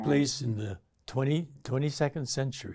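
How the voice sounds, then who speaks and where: Somewhat breathy, a man with an American accent talks at a medium pitch with ordinary pitch variation. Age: 80s+. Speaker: actor and activist. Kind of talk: interview answer.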